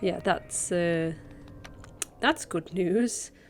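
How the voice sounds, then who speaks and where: A woman talks at a medium pitch with ordinary pitch variation. Music plays in the background. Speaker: speedrunner and streamer. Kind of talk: gameplay voiceover commentary. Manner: quiet, keeping voice down; hesitant, many fillers.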